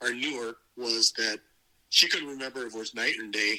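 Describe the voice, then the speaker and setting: A man with an American accent, medium-pitched, bright and sharp in tone, fairly quick, flat and monotone. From California, Gilroy. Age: 60s. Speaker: adoptee telling his story. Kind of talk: interview testimony.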